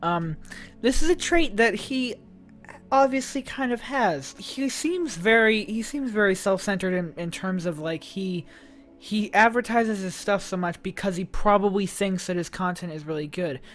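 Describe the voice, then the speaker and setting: Music plays in the background as a woman with a medium-pitched voice speaks at a fairly slow pace with lively intonation. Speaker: YouTube commentator. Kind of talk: casual commentary to camera. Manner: hesitant, many fillers.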